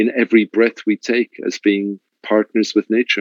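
Fairly slow speech from a man with a fairly low pitch, the sound dry and close with no echo. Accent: Irish. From Ireland. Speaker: luxury hotel general manager. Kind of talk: interview. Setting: video call.

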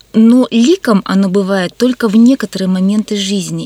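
A woman's dark, mellow tone at a medium pitch and moderate pace, with ordinary pitch variation, in a dry, close sound with no echo. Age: 50s. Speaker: artist and museum educator. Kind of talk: radio interview. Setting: radio studio.

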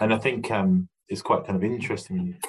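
A man with an English accent sounds somewhat breathy, his intonation lively. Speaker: podcast host, recruiter. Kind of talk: interview. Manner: halting.

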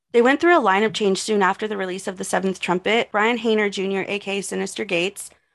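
A woman speaks in a normal speaking voice at a medium pitch, with an American accent. Her pitch varies in an ordinary way, and the background is quiet. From Texas. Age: 20s. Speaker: podcast host. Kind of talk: casual chat; scripted narration.

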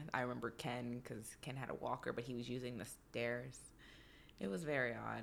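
Speaking at a fairly quick pace, a woman uses a very deep, low pitch with vocal fry. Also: fairly even intonation. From Texas. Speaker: dancer and comedian. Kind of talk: casual chat.

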